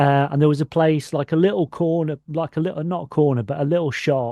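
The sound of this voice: A man with a fairly high pitch and a dark, mellow tone is heard in a dry, close recording with no echo. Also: fairly even intonation, fairly quick pace.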